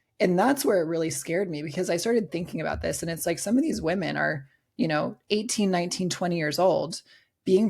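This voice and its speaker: At a fairly quick pace, a woman speaks in an animated tone with fairly low pitch, vocal fry and ordinary pitch variation. The recording is very clean, with a silent background. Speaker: bikini bodybuilding pro and coach. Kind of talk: podcast interview.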